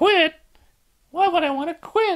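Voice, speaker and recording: A squeaky, put-on character voice. The pitch sits extremely high. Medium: read story. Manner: upbeat, easygoing.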